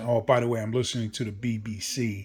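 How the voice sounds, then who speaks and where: At a moderate pace, a man talks in a medium pitch, his voice somewhat breathy. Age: 60s. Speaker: model railroad hobbyist vlogger. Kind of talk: casual vlog monologue. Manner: hesitant, with false starts.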